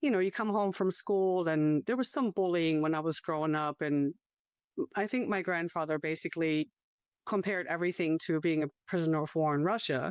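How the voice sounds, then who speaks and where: A woman with a German accent and a fairly low pitch, fairly quick in pace, with ordinary pitch variation and very even loudness, over a quiet background in a dry, close sound with no echo. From Germany, small town north of Frankfurt. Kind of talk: testimony interview.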